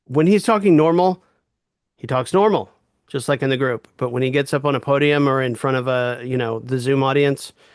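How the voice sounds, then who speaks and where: A plain, everyday voice from a man at medium pitch, with ordinary pitch variation and a fairly quick pace, against a quiet background. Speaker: reading group leader. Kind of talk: reading group discussion.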